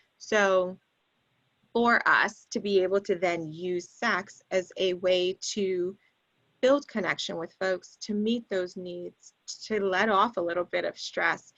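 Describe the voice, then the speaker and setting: This woman has an ordinary speaking voice at a medium pitch, with ordinary pitch variation and a fairly slow pace, in a dry, close sound with no echo. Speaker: public health sex educator. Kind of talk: panel discussion.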